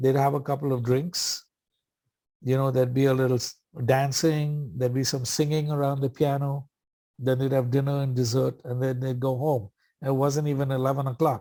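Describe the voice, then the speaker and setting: On a very clean recording with a silent background, a man speaks at a moderate pace in a medium-pitched voice with a dark, mellow tone and monotone, flat intonation. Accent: Indian. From India, Bombay. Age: 60s. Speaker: AA speaker. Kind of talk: recovery talk at meeting. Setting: meeting. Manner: casual, humorous storytelling.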